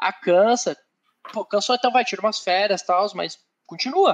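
A man talks with a high pitch. His voice is recorded close and dry, with no echo. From southern Brazil, Curitiba. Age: 20s. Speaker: workplace safety technician and quality manager. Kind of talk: interview.

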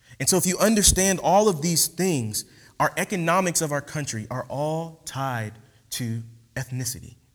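Over a silent background in a very clean recording, a man speaks fairly slowly at a fairly high pitch. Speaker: guest preacher. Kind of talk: sermon. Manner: relaxed.

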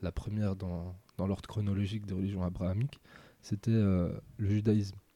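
A man's fairly low, dark, mellow voice in a flat monotone at a moderate pace, dry and close with no echo, in a very clean recording over a silent background. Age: 20s. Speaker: Sufi disciple and biographer. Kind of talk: interview.

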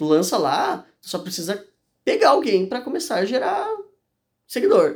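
The speaker is a man. His intonation is lively. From Santa Catarina, Brazil (Urubici). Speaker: former youtuber. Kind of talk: casual chat.

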